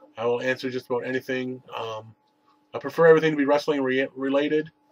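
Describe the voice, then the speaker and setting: At a fairly quick pace, a man talks in a monotone, flat intonation at a medium pitch. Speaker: wrestling video reviewer. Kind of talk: casual vlog review. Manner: hesitant, many fillers.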